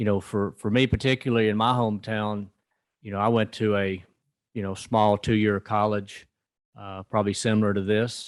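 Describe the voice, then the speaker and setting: In a Southern US accent, a man speaks at a moderate pace with a fairly low pitch and monotone, flat intonation. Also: quiet background. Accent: Southern US (Georgia). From rural North Georgia, US South. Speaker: rural development lending executive. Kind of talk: conference talk. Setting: conference event with audience. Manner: many filler words.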